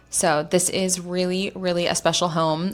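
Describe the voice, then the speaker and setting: A woman speaks in an enthusiastic tone with a fairly low pitch. Noticeable background noise is present. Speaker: realtor. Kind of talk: screen-share real estate walkthrough.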